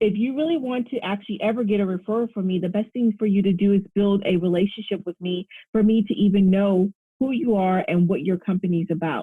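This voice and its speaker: Her pitch medium with ordinary variation, a woman speaks at a very fast pace. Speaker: relationship coach. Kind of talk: casual interview chat.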